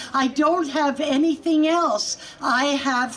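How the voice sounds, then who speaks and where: Over noticeable background noise, a woman speaks very slowly at a high pitch. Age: 70s. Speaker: patient advocate. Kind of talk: rally speech. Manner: animated.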